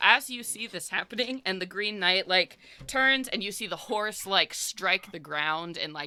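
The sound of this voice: An unforced reading voice is heard in this clip.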